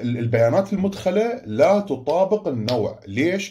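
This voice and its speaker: A man's dark, mellow tone with vocal fry and very wide pitch swings. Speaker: school teacher. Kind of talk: online lesson.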